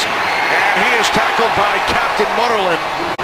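Speaking at a fairly slow pace, the voice sounds dry with no echo over loud background noise. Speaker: play-by-play announcer. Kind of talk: live sports commentary, play-by-play. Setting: broadcast booth at a game. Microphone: headset.

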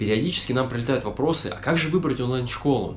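Light noise is present in the background. The speaker is a man. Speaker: family travel vlogger. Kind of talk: sponsored ad read. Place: kitchen. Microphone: phone near.

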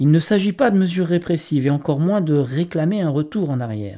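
A man's fairly high, dark and mellow voice, fairly quick, with ordinary pitch movement and a very clean recording over a silent background. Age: 50s. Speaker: police officer and bereaved father. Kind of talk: video appeal. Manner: formal.

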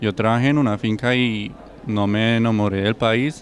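Over light background noise, a man with a German accent talks at a fairly slow pace with fairly even intonation, and the sound is dry with no echo. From Germany. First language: German (speaking Spanish). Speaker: exchange medical student. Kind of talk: testimony. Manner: halting, with frequent self-corrections and repeated words. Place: garden. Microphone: handheld.

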